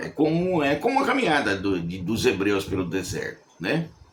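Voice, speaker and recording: Noticeable background noise surrounds a man whose medium-pitched voice makes very wide pitch swings. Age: 70s. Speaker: preacher. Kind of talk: sermon. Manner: conversational, repeats words.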